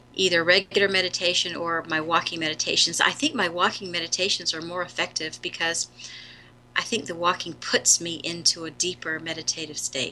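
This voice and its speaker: In a Southern US accent, a woman talks at a moderate pace with a fairly low pitch, a bright, sharp tone and fairly even intonation. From Georgia, US. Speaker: author and life coach. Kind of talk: interview.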